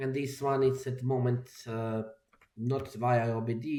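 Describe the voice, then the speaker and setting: A man speaks with a Croatian accent. His pitch is medium and his pace fairly slow. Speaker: software developer. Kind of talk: tutorial. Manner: halting, many fillers. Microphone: microphone problems.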